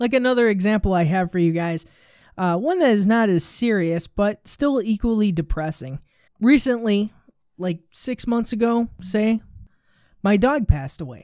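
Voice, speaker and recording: Over a silent background in a very clean recording, a woman with a dark, mellow tone speaks at a medium pitch and a moderate pace with lively intonation. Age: 20s. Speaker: podcast host. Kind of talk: motivational monologue. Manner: casual, conversational.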